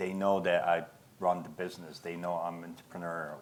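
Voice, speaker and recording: A man speaks with a non-native accent. His very deep, low pitch holds a monotone, flat intonation. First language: not English. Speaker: business owner. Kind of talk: panel Q&A. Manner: halting.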